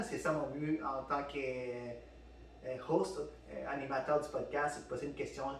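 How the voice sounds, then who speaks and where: A man talks over noticeable background noise. Audible room echo surrounds his voice. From Peru. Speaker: podcast host. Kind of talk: casual chat. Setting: studio with microphones. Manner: halting, many fillers and repeats.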